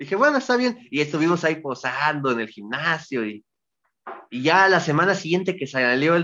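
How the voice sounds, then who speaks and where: This man has an unremarkable speaking voice, talking at a moderate pace with lively intonation. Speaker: professional wrestler. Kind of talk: interview.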